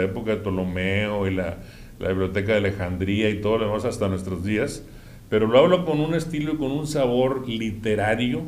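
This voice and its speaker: With audible room echo around him, a man talks at a medium pitch with lively intonation. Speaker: podcast guest. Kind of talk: casual chat.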